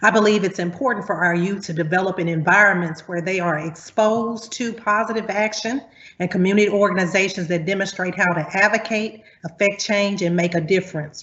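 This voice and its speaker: A woman at medium pitch with a Southern US accent, fairly even intonation and a fairly quick pace. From US Deep South. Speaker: university academic, panelist. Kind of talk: prepared panel remarks. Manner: formal.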